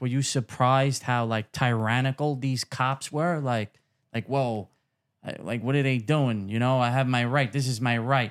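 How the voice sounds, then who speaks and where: A man's medium-pitched voice in a Brooklyn accent, with fairly even intonation and a fairly slow pace, on a very clean recording with a silent background. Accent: New York (Brooklyn). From Brooklyn, New York City. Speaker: podcast host. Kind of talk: casual interview.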